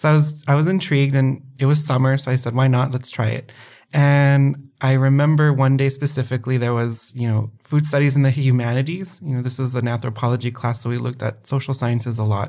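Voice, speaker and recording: A man's unremarkable speaking voice at medium pitch, fairly quick with hardly any pauses, fairly even intonation, in a very clean recording with a silent background. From El Paso, Texas. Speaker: PhD student. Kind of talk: interview conversation.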